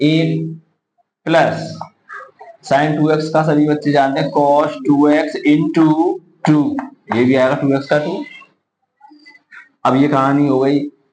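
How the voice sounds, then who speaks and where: Amid audible room echo, a man with a fairly high pitch speaks at a fairly slow pace in a monotone, flat intonation, pausing long and often. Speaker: math teacher. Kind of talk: lecture.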